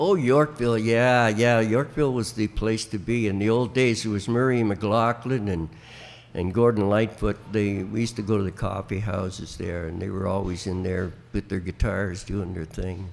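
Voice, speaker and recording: A man speaks with an Ontario accent at a fairly low pitch. His pitch varies in an ordinary way. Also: moderate pace. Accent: Canadian (Ontario). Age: 80s+. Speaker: veteran country musician. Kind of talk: interview storytelling. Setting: flea market. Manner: halting.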